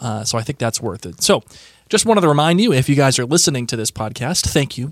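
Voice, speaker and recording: This man has an American accent and a medium pitch, recorded with a dry, close sound with no echo against a very clean, silent background. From Massachusetts. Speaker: podcast co-host. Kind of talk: casual chat. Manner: hesitant, many fillers.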